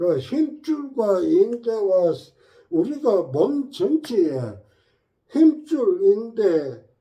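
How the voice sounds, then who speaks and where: A man's extremely high pitch with very wide pitch swings. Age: 70s. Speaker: health channel host. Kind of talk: informal health talk. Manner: conversational, frequent filler 예?.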